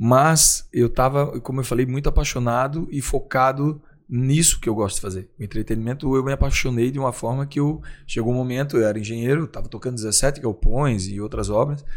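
Fairly quick speech comes from a man with a normal speaking voice. His pitch sits in the middle and varies in an ordinary way. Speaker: nightclub founder and entrepreneur. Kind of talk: interview.

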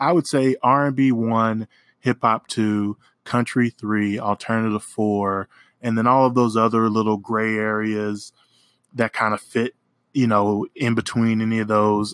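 A man's medium-pitched voice in an American accent, monotone and flat, at a moderate pace, with a dry, close sound with no echo on a very clean recording with a silent background. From Oklahoma. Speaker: podcast host, music reviewer. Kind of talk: casual solo music review.

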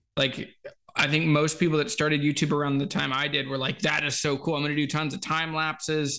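Against a quiet background, a man with an American accent speaks fairly quickly in a fairly high, bright, sharp voice with monotone, flat intonation. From Virginia (US South). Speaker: guitar YouTuber. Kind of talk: casual chat.

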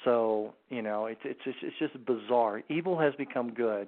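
A man talks at a moderate pace with an unremarkable speaking voice. His pitch is medium with ordinary variation. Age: 60s. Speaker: anti-trafficking organization founder, former Marine and CIA officer. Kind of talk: radio talk show interview. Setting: phone call.

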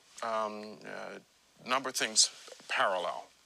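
There is noticeable background noise as a man speaks at medium pitch. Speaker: former central bank official, interviewee. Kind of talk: radio interview.

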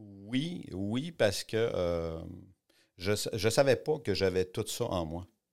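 A man with a Quebec accent speaks at a very slow pace with long, frequent pauses, fairly low pitch and lively intonation, in a very clean recording with a silent background. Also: big swings in loudness. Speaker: art gallery owner and entrepreneur. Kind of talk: interview. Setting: studio. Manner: halting.

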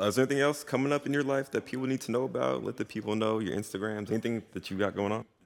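A man with an American accent, talking very fast with hardly any pauses. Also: medium pitch for a man, ordinary pitch variation. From New Jersey. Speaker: podcast host, photographer. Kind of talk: casual interview chat. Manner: animated.

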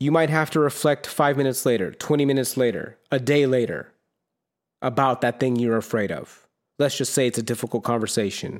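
On a very clean recording with a silent background, a man with a normal speaking voice talks at a fairly quick pace, with a medium pitch and fairly even intonation. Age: 30s. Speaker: solo podcast host. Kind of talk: personal monologue on self-help. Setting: solo video recording on camera. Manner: casual, with frequent fillers and repetitions.

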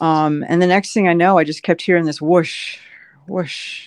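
The voice is a normal speaking voice with fairly even intonation, heard dry and close with no echo over a quiet background. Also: woman. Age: 50s. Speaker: endurance athlete. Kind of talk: casual chat.

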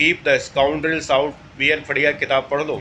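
A man with a normal speaking voice talks at a moderate pace, his fairly high pitch held to a fairly even intonation. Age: 60s. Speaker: retired civil servant and exam coach. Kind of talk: monologue lecture to aspirants.

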